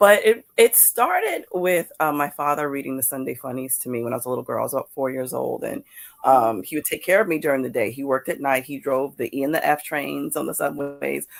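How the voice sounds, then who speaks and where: In a New York accent, the speech moves at a fairly quick pace with hardly any pauses. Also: woman. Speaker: comics creator and awards judge. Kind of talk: interview on live podcast. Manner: halting, frequent repetitions.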